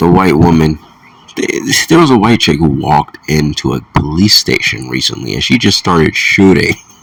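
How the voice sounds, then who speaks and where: A man with a very deep, low voice speaks with lively intonation over noticeable background noise. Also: moderate pace. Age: 30s. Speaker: solo video commentator. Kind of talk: casual monologue rant. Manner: halting, repeats words.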